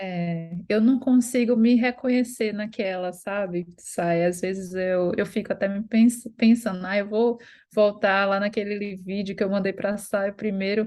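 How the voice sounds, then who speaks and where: In a normal speaking voice, a woman speaks at a medium pitch with fairly even intonation and hardly any pauses, against a quiet background. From Brazil, Recife. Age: 30s. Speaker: course student sharing her story. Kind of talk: testimony.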